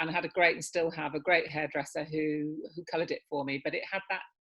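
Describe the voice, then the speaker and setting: In an English accent, a woman speaks at a fairly low pitch with monotone, flat intonation. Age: 60s. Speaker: hair care brand founder. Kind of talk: interview. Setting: video call.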